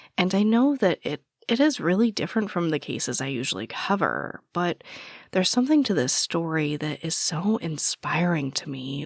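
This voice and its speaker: Vocal fry, very wide pitch swings and a moderate pace in a dry, close sound with no echo. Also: woman. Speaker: true crime podcaster. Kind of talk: casual chat. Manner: casual, filler-heavy.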